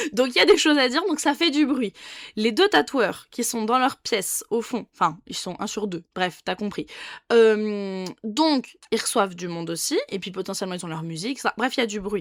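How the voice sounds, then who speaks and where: On a very clean recording with a silent background, a woman with an unremarkable speaking voice and a fairly high pitch talks at a moderate pace, her loudness swinging widely. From France, Dijon. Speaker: nail technician. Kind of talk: casual vlog monologue. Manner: casual, with many fillers and restarts.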